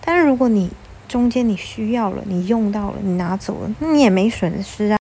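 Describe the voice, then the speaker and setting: The woman's voice is fairly high, with ordinary pitch variation. Her tone is animated. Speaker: podcast host, stay-at-home mom blogger. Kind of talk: casual monologue, personal finance tips. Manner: toned down, gentler for recording.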